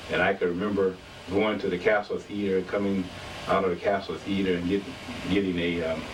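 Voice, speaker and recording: A man with an American accent speaks at a fairly quick pace, his pitch very deep and low. His intonation is monotone and flat, with noticeable background noise behind him. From Detroit, Michigan. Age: 60s. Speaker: local historian. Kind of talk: interview testimony.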